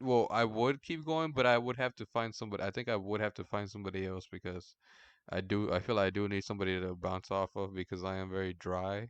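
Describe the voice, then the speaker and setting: A man with a fairly low pitch talks at a very fast pace. The sound is dry and close with no echo, and the background is quiet. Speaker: podcast host. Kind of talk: casual chat. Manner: monotone; deadpan.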